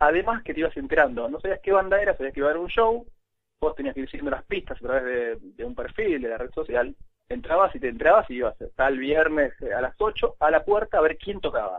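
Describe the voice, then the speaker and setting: With a Rioplatense accent, a man talks at a very fast pace in a high voice that moves through very wide pitch swings. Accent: Argentine Spanish (rioplatense). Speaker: former social network employee. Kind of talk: interview.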